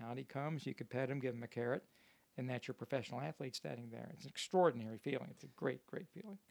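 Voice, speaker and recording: Speaking at a very fast pace, a man with a medium pitch shows lively intonation and vocal fry. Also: dry, close sound with no echo. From Kentucky, Louisville. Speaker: comedian. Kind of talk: casual chat. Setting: ship cabin. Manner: measured storytelling cadence.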